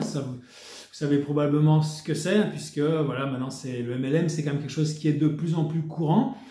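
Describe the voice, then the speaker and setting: Fairly high-pitched male speech at a fairly quick pace with ordinary pitch variation, plus noticeable background noise and audible room echo. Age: 60s. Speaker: wellness network marketer. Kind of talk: sales pitch. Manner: casual, with hesitations.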